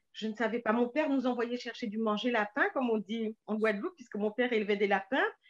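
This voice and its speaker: A woman speaks at a high pitch over a quiet background. The sound is dry and close, with no echo. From Paris suburbs, France. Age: 60s. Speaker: novelist. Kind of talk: interview.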